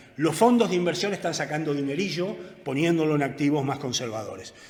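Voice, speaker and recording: A man's fairly high-pitched voice at a very fast pace, with ordinary pitch variation and audible room echo. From Argentina. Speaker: economist. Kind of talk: lecture. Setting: conference with audience.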